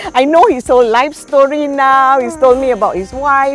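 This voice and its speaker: A woman is talking at a moderate pace. Behind her, music can be heard. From Malacca, Malaysia. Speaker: chef and cookbook author. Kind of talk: interview answer.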